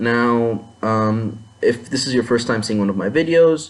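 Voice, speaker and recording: A man with a non-native accent speaks at a fairly slow pace, medium in pitch with ordinary pitch variation. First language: not English. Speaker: anime commentator. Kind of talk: video commentary monologue. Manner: halting, many fillers and restarts.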